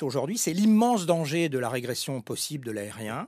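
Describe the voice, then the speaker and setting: With very wide pitch swings and a fairly quick pace, a man speaks in a fairly high pitch. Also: dry, close sound with no echo. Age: 60s. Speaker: former airline executive. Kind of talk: interview. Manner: halting.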